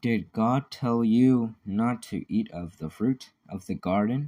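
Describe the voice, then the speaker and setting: A man puts on a character voice at medium pitch, speaking at a fairly slow pace. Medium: read story.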